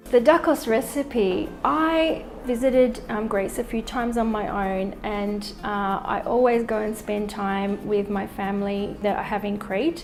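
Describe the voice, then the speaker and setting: The speaker talks at a fairly slow pace with an Australian accent and ordinary pitch variation. Noticeable background noise runs underneath. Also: woman, fairly high pitch for a woman. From Australia (Melbourne). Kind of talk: personal narrative interview. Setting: artist's studio.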